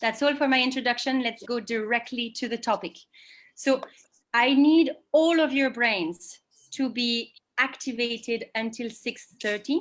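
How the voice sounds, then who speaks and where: Speaking at a fairly slow pace with a French accent, a woman uses a high pitch and ordinary pitch variation. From France. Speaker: sustainability director giving a webinar. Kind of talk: webinar presentation. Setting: online video call.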